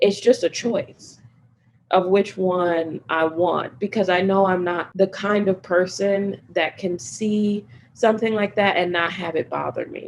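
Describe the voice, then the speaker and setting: The woman has an American accent and a medium pitch, speaking at a moderate pace. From Chicago, US Midwest. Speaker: climate policy expert. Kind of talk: interview.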